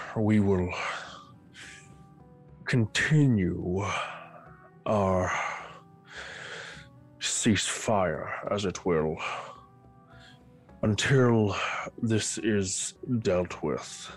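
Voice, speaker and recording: With faint music in the background, a man uses a put-on character voice, growling and strained at a fairly low pitch, at a very slow pace with long, frequent pauses. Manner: strained snarling.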